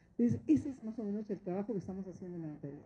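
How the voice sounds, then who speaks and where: With lively intonation, a woman speaks at medium pitch in a dark, mellow tone that is somewhat breathy. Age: 60s. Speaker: notary. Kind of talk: course lecture talk. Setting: training course with audience of judges.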